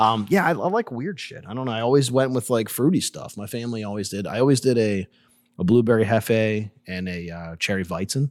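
In a very clean recording with a silent background, a man with an unremarkable speaking voice and an American accent talks at a fairly quick pace and medium pitch, with ordinary pitch variation. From Pittsburgh, Pennsylvania. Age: 40s. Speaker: mead maker and business owner. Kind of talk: casual chat. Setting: taproom recording with echo.

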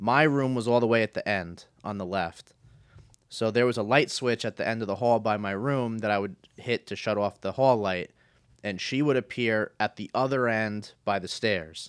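A man with an American accent and an ordinary speaking voice, medium-pitched with ordinary pitch variation, at a moderate pace, dry and close with no echo, in a very clean recording with a silent background. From New Jersey, Bergen County. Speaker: podcast co-host. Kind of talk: casual chat.

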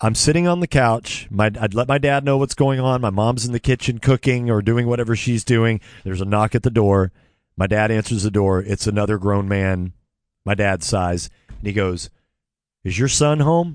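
A normal speaking voice with an American accent, moderate pace and ordinary pitch variation, dry and close with no echo over a quiet background. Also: man, medium pitch for a man. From California. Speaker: sports radio host. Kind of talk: storytelling.

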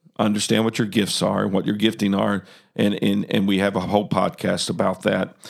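A man talks at a fairly quick pace with a fairly low pitch and vocal fry. His intonation is monotone and flat, and his loudness is very even. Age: 60s. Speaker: podcast host. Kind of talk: casual chat.

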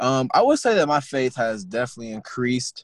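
At a fairly quick pace, a man with an American accent and medium pitch speaks in a dry, close sound with no echo on a very clean recording with a silent background. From US Midwest, St. Louis. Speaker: college student and EMT. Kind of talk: interview conversation.

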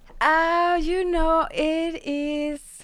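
A woman with a Spanish accent. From Mexico, San Luis Potosi. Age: 30s. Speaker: radio show host and wellness teacher. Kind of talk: casual interview. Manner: halting.

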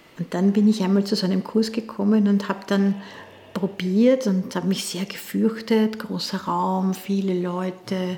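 A woman of medium pitch speaks in a monotone, flat intonation at a fairly slow pace against noticeable background noise. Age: 60s. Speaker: dance teacher. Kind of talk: interview.

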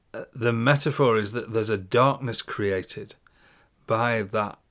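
A man with a British accent speaks at medium pitch. His pace is very slow, on a very clean recording with a silent background. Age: 60s. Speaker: podcast host and poet. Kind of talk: poetry reading, spoken word, then reflective solo talk. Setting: solo recording. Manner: measured, declamatory, rhythmic, intense delivery.

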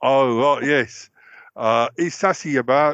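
Putting on a character voice, a hoarse man speaks at a fairly high pitch with ordinary pitch variation.

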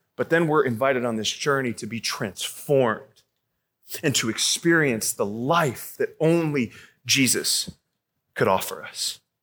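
In a plain, everyday voice, a man speaks at a fairly slow pace. His pitch is fairly high, with ordinary pitch variation. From Arizona. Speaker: youth pastor. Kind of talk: sermon.

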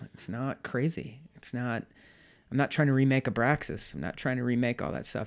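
In an American accent, a man with a plain, everyday voice speaks at medium pitch and a moderate pace, with ordinary pitch variation. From US Midwest, St. Louis. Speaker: home brewer. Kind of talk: casual chat. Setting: home office.

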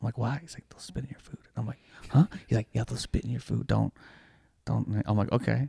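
A man talks at a very fast pace but leaves long, frequent pauses. The sound is dry and close, with no echo. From Toronto, Canada. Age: 30s. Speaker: comedian. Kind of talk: casual chat. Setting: studio. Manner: animated.

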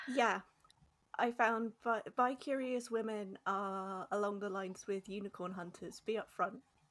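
In a plain, everyday voice, a woman speaks at a fairly slow pace and medium pitch with fairly even intonation. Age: 30s. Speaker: podcast guest. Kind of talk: casual chat.

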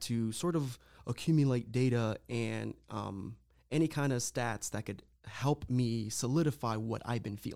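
Recorded very cleanly against a silent background, a man speaks with an ordinary speaking voice at medium pitch and with ordinary pitch variation. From Lorain County, Ohio, Puerto Rican family. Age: 30s. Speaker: guest sharing mental health story. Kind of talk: casual interview, personal testimony.

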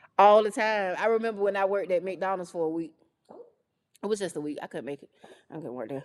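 Speaking very fast in a North Carolina accent, a woman with a medium pitch uses lively intonation, big swings in loudness, and long, frequent pauses. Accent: Southern US (North Carolina). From US South, rural northeastern North Carolina. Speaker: radio personality and esthetician. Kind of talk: interview, casual chat. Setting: video podcast studio, recorded on camera.

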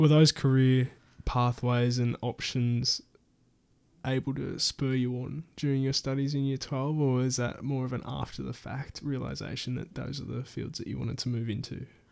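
With an Australian accent, a man talks at a moderate pace and medium pitch in a monotone, flat intonation. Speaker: podcast host. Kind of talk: casual interview.

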